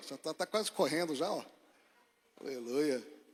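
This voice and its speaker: Here a man speaks at a fairly high pitch. His pace is fairly slow. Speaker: pastor. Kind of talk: sermon. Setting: church. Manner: soft-spoken.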